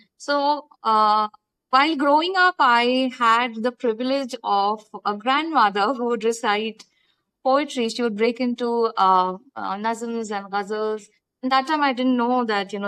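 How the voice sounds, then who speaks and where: In a very clean recording with a silent background, a woman with a Pakistani accent speaks at a fairly slow pace and a fairly high pitch. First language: Urdu. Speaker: writer. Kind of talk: casual chat. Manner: halting.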